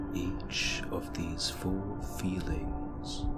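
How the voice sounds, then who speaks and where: A man at a very slow pace amid loud background noise. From India. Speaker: meditation guide. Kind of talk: guided meditation.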